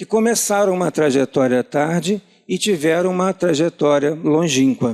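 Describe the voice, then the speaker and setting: A man with a high pitch speaks at a fairly slow pace and ordinary pitch variation, in a dry, close sound with no echo. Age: 60s. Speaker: church lay preacher. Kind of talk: sermon.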